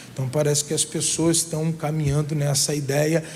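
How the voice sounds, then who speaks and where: In a room with audible echo and noticeable background noise, a man talks in a fairly high, monotone, flat voice. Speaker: pastor. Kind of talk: sermon.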